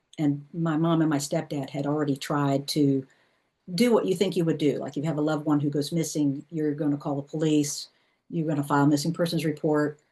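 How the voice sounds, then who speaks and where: With a Southern US accent, a woman talks at a fairly quick clip in a very deep, low voice, her tone dark and mellow and her intonation fairly even. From US South. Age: 50s. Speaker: intuitive life coach and author. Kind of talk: personal testimony in a class talk. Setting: class workshop with group.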